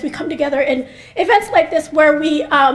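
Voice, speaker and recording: A woman with an American accent speaks in a high voice with fairly even intonation over noticeable background noise. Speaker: mental health researcher. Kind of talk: speech. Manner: fast.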